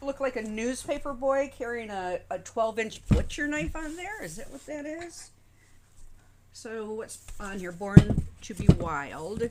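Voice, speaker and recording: Fairly high female voice with very wide pitch swings, noticeable background noise. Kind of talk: casual livestream chat with co-host.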